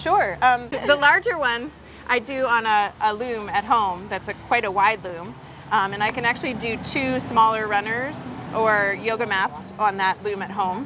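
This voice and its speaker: At a moderate pace and with ordinary pitch variation, a woman talks over noticeable background noise. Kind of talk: interview answer. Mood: cheerful, animated. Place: shop. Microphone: lapel.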